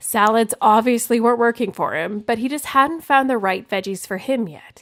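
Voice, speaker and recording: A woman talks at a moderate pace with ordinary pitch variation. It is a normal speaking voice. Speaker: podcast host; registered dietitian. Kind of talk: wellness podcast talk.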